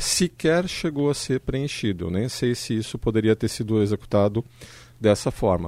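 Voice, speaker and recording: Lively in intonation and dark, mellow in tone, a man talks at a moderate pace in a dry, close sound with no echo on a very clean recording with a silent background. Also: medium pitch for a man. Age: 50s. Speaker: economist, radio panel guest. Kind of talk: radio panel discussion.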